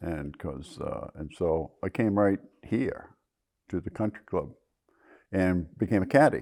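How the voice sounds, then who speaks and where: A man's very deep, low voice, dark and mellow in tone, fairly slow with lively intonation and long, frequent pauses, on a very clean recording with a silent background. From Maine, Rangeley area. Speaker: local snowmobile club member. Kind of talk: oral history interview.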